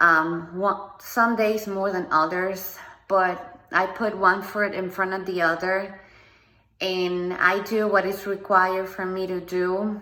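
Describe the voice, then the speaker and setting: In a Spanish accent, a woman speaks at a very slow pace and medium pitch with monotone, flat intonation, amid audible room echo and noticeable background noise. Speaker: motivational speaker. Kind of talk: personal testimony monologue. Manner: halting, with many ums.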